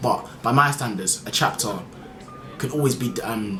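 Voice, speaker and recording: Medium-pitched male voice with very wide pitch swings and audible room echo. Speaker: anime manga reviewer. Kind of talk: video review monologue. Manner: fast; casual with fillers.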